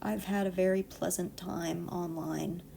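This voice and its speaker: Her tone is dark and mellow. The woman speaks at a very slow pace. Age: 20s. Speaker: online artist and YouTuber. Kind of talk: unscripted casual storytime monologue. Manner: deliberately slow and calm, lower than usual pitch; hesitant, many fillers and restarts.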